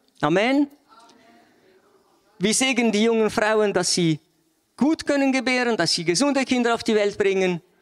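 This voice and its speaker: A high-pitched man talks at a moderate pace with lively intonation. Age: 60s. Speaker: lay preacher. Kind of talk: sermon. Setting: church. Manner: animated.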